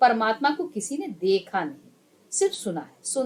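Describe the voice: Simply plain reading aloud.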